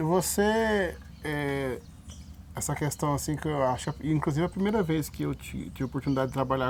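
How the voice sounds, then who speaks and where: A man with ordinary pitch variation talks at a moderate pace. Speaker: rodeo journalist, interviewer. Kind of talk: interview questions. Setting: outdoors at rodeo park, background noise.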